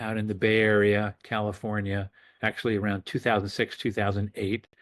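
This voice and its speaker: A man with an unremarkable speaking voice talks at a fairly quick pace and medium pitch in an American accent. The sound is dry and close with no echo, over a quiet background. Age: 60s. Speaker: physician. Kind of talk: interview. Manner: casual, with filler words.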